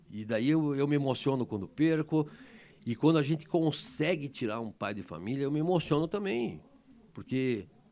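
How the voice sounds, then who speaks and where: Moderately paced, a man speaks in a fairly high pitch. The recording is very clean, with a silent background. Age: 60s. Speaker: emergency doctor. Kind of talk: interview. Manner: animated, emotional; halting, many repetitions.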